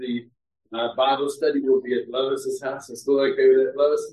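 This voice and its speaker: A normal speaking voice moves along at a moderate pace, showing ordinary pitch variation. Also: man. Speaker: church leader. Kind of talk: announcements. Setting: church.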